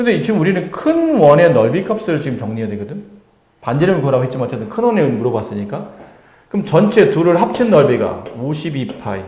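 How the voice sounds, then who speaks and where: Fairly quick speech from a man, pitched fairly high and swinging very widely in pitch. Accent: Busan. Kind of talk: teaching, explaining math.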